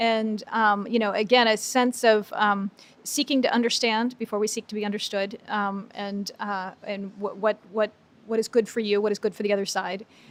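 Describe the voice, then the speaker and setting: A woman's fairly high-pitched voice in a monotone, flat delivery. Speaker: literacy non-profit executive director. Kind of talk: interview answer. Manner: fast.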